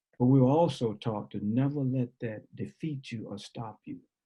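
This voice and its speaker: A man speaks in a dark, mellow, somewhat breathy tone at medium pitch. His pace is moderate and his pitch varies in an ordinary way. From New Orleans, Louisiana. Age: 70s. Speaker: basketball coach. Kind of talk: interview answer on video call. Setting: video call.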